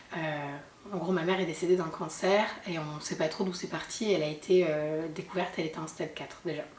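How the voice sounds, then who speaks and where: Amid noticeable background noise and audible room echo, a woman speaks at a fairly quick pace with a fairly low pitch and fairly even intonation. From southern France, Sète (Hérault). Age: 30s. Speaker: mother sharing her story. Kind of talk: testimony interview. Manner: hesitant, many fillers.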